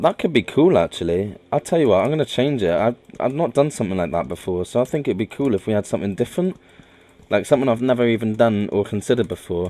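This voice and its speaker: Mumbling, a man rushes along at a very fast pace. His medium pitch makes very wide swings. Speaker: gaming video creator. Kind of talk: gameplay commentary. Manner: halting, many fillers and restarts.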